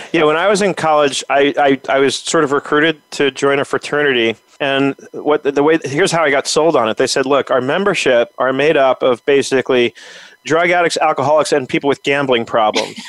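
A man with a plain, everyday voice speaks at a fairly quick pace and fairly high pitch, with ordinary pitch variation. The loudness is very even, and the sound is dry and close with no echo. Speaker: podcast host. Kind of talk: interview.

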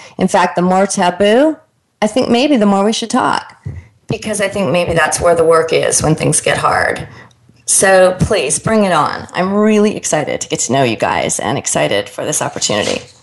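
A woman with a plain, everyday voice speaks at a medium pitch. Her intonation is lively and her pace moderate. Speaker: radio host; life coach and motivational speaker. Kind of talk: radio interview show. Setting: radio studio broadcast.

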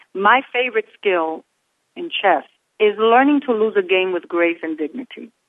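A woman speaks at a moderate pace with lively intonation and a medium pitch. It is an unremarkable speaking voice. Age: 50s. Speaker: author. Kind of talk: radio interview.

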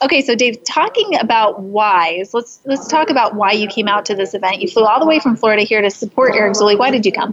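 Against noticeable background noise, a woman with a fairly high pitch and ordinary pitch variation talks very fast at very even loudness, with hardly any pauses. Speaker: livestream host and speaker. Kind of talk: casual live-streamed interview. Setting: live stream at an event. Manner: soft-spoken.

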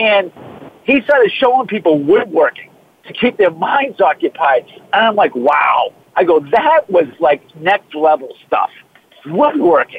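A man's high voice with a Boston accent and a slightly husky edge, big pitch swings, a fairly slow pace, few pauses, and a dry, close sound with no echo.

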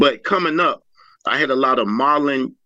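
A man is speaking. His pace is moderate. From Virginia, US. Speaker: model and pageant winner. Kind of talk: personal life story in interview. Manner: halting with fillers.

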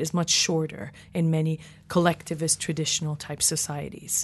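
A woman speaks with an American accent at a moderate pace. Her pitch is fairly low. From Iranian diaspora, California, Canada, UK. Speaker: cross-cultural psychologist, professor. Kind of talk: interview discussion.

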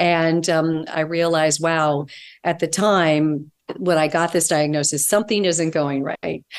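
The delivery comes in an unremarkable speaking voice at a fairly slow pace, with fairly even intonation and very even loudness. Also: woman, fairly low pitch for a woman. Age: 60s. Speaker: integrative holistic nutritionist and author. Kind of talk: interview conversation.

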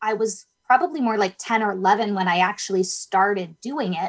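A woman with an unremarkable speaking voice talks in a Canadian accent, her pitch varying in an ordinary way. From northern Ontario, Canada. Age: young. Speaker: youth theater director and author. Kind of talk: interview.

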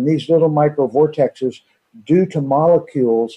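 A man speaks in a plain, everyday voice at a fairly quick pace. His pitch varies in an ordinary way. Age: 50s. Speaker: water device company owner. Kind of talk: radio interview.

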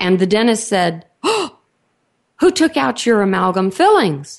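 A woman with a Texan accent speaks in a fairly high voice at a moderate pace over a quiet background. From Texas. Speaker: radio host, biological dentistry executive director. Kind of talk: radio interview.

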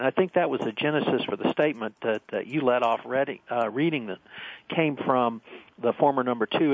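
A man with an unremarkable speaking voice talks at a fairly quick pace, medium in pitch with ordinary pitch variation. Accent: American. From central Texas. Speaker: compliance attorney. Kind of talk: radio panel discussion. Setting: phone call.

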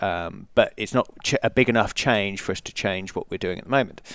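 A man with an English accent speaks fairly quickly at a fairly low pitch. The sound is dry and close with no echo, on a very clean recording with a silent background. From England. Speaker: company founder and CEO. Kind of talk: casual interview. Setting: conference interview, live broadcast.

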